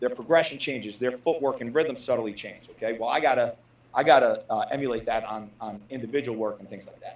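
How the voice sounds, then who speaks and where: A man with a medium-pitched voice speaks at a fairly quick pace, with ordinary pitch variation, big swings in loudness and noticeable background noise. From New Jersey. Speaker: football position coach. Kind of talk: press conference answers. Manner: fast; repeats words often.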